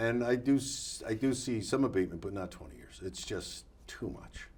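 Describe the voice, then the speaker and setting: In a somewhat breathy voice, a man speaks with lively intonation. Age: 70s. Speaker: city council candidate. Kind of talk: casual interview. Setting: studio. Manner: halting.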